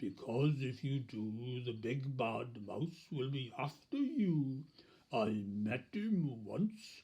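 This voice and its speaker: This man uses a put-on character voice at a medium pitch. He speaks at a very slow pace. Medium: read story.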